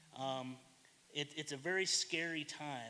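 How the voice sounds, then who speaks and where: A man talks loudly with an American accent and a bright, sharp tone. His pitch variation is ordinary. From US South. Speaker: public commenter. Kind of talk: public comment at government meeting.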